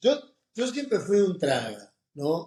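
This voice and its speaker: A man with a Rioplatense accent speaks in a dark, mellow tone with very wide pitch swings. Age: 60s. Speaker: oncologist and professor. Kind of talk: interview. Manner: animated.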